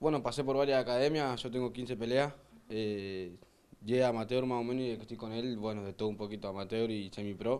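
A man's medium-pitched, plain, everyday voice at a fairly quick pace, with fairly even intonation. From Argentina, Santo Tomé. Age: 20s. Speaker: kickboxer. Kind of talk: interview.

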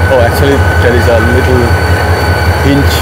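Loud background noise surrounds the man as he talks. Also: dry sound with no echo. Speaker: travel vlogger. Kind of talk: casual vlog chat. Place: station. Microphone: lapel.

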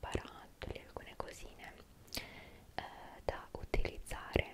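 A woman whispers at a very slow pace, soft-spoken. Loud background noise runs behind her. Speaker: ASMR creator. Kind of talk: soft ASMR product talk. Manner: soft close-mic ASMR whisper. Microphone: studio mic.

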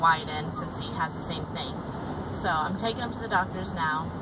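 Loud noise fills the background. Through it, a woman can be heard talking. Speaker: parent vlogger. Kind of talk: casual vlog chat. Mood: chatty, mildly concerned. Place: car. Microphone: phone near.

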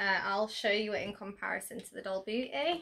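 At a fairly quick pace, the speaker has a bright, sharp tone and a British accent. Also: woman. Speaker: beauty YouTuber. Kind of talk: product unboxing. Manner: animated.

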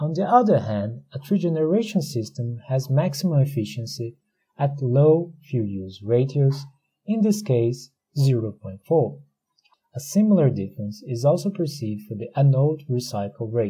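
With a Portuguese accent, a man talks at a fairly high pitch in a dark, mellow, somewhat breathy tone, his pitch swinging very widely. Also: moderate pace. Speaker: academic researcher. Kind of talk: conference presentation. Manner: formal.

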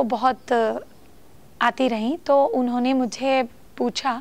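Delivered at a very slow pace with a non-native accent, the speech has fairly even intonation. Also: woman. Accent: non-native Hindi. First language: not Hindi (speaking Hindi). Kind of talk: talk to camera; casual talk to camera. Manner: halting, many fillers. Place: home room.

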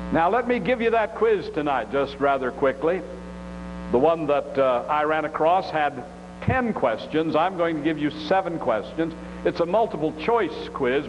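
Noticeable background noise is audible. The talking proceeds at a moderate pace. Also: man. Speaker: preacher or teacher. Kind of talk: sermon. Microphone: podium.

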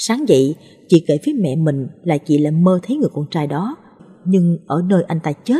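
With a dark, mellow tone, a somewhat breathy woman speaks at a moderate pace using lively intonation. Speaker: story narrator. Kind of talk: reading aloud a ghost story.

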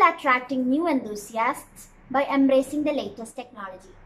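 A woman speaks at a moderate pace with a high pitch. Her tone is bright and sharp. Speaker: explainer vlogger. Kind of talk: explainer talk to camera. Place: home room.

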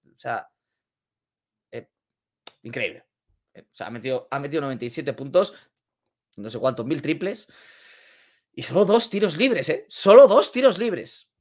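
The voice has an animated tone, very wide pitch swings and big swings in loudness. It moves at a fairly slow pace with long, frequent pauses over a quiet background. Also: man, high pitch for a man. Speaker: NBA YouTuber; NBA news streamer. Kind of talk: sports commentary video. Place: home room.

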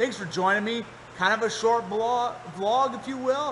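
Light background noise sits behind a man whose voice has ordinary pitch variation. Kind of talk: casual vlog chat. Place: workshop. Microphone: phone near.

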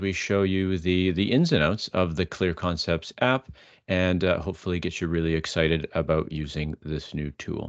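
A man's very deep, low voice at a moderate pace, dry with no echo against a quiet background. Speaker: webinar host. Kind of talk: webinar presentation. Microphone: video call.

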